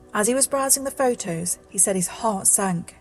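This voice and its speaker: Female speech at a moderate tempo, music playing in the background. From British. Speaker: narrator. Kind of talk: scary story narration.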